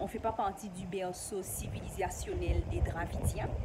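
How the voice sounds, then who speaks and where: A woman at a medium pitch, with noticeable background noise behind her. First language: not French (an ancestral local language) (speaking French). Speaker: YouTuber. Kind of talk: casual vlog explanation.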